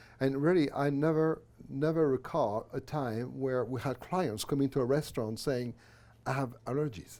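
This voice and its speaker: Against a silent background in a very clean recording, a man with a dark, mellow tone speaks at medium pitch and a moderate pace with ordinary pitch variation. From France. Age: 60s. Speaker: minister and former restaurateur. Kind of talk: interview conversation. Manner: halting.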